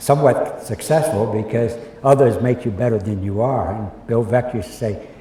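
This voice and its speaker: The speaker keeps a moderate pace and ordinary pitch variation. Noticeable background noise and audible room echo are present. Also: man. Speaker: baseball executive. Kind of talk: interview storytelling. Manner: halting, repeats words.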